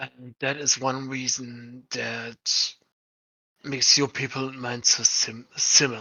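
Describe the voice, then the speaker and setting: This put-on character voice sits at a low-to-middle pitch and moves at a fairly slow pace. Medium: actual play. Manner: measured, probing.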